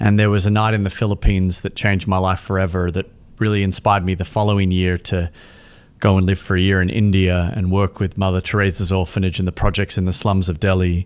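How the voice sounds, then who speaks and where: On a very clean recording with a silent background, a man with an Australian accent talks very fast in a very deep, low pitch, his intonation monotone and flat. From Australia, Melbourne. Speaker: charity founder. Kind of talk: interview.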